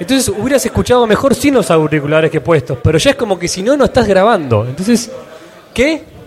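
A man talking at a very fast pace, with very wide pitch swings and noticeable background noise. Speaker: podcaster. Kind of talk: live panel interview. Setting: stage with audience.

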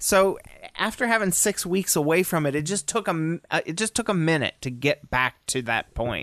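A man's high-pitched voice with lively intonation at a moderate pace, in a dry, close sound with no echo. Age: 30s. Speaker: podcast co-host. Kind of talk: casual chat.

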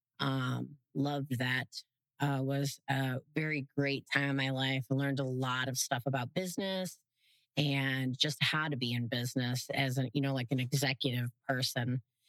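A very deep, low-pitched woman's voice with an American accent, monotone and flat at a moderate pace, dry and close with no echo. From Southwest Florida. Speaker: charity organization vice president. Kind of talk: casual interview.

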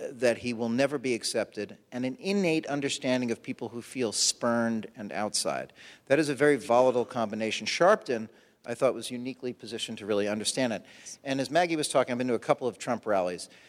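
A man with a medium-pitched voice moves at a fairly quick pace, his pitch shifting in an ordinary way. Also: very clean recording, silent background. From Brooklyn, New York. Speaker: political reporter. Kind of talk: panel discussion. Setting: stage with audience.

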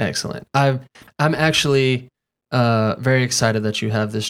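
Speaking at a fairly slow pace with ordinary pitch variation, a man with an American accent comes through on a very clean recording with a silent background. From North Carolina. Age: 30s. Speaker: podcast host. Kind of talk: casual chat.

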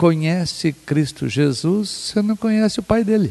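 His pitch is high for a man. It varies an ordinary amount. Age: 60s. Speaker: pastor and theologian. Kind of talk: theological discussion. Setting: at a home.

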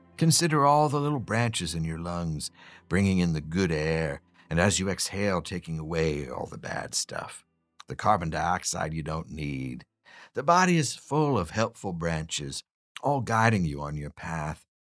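A man speaks with a very deep, low pitch and lively intonation. Music plays in the background. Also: moderate pace. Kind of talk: guided meditation. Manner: gently wry, reassuring.

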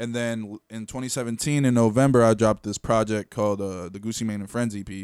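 A man talks at a very fast pace in a medium pitch, with hardly any pauses. His intonation is fairly even, while his loudness swings widely. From Venezuela, raised in Connecticut from age eight. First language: Spanish. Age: 20s. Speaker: rapper. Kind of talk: casual chat. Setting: studio.

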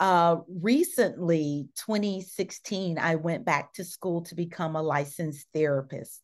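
Against a quiet background, a woman with a Southern US accent speaks at a fairly slow pace and fairly low pitch, with ordinary pitch variation, big swings in loudness and hardly any pauses. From US South, Mississippi small town. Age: 50s. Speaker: diversity consultant and therapist. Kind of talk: casual interview chat. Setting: video call.

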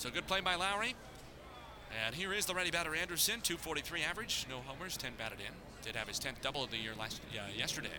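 Against noticeable background noise, a man with a high pitch talks very fast in an animated tone, his pitch swinging very widely. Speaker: baseball play-by-play announcer. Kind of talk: live baseball play-by-play commentary. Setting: ballpark broadcast. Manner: rapid-fire, animated call of each pitch and catch.

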